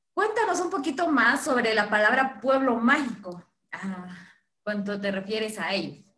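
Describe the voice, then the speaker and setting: In a Guatemalan accent, a woman speaks fairly slowly at a fairly high pitch with very wide pitch swings. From Guatemala, Chichicastenango. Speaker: co-host. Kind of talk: live social media stream chat.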